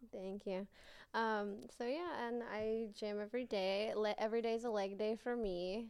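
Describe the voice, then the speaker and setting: With an American accent, a woman speaks in an ordinary speaking voice at a fairly high pitch, with ordinary pitch variation and a moderate pace. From US West, Las Vegas, Nevada. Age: 20s. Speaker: adult film performer. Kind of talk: casual chat.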